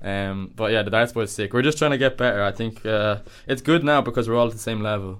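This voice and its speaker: Ordinary pitch variation runs through speech delivered very fast. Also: man, medium pitch for a man. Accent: Dublin. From Dublin area, Ireland. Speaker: university student. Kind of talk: casual chat.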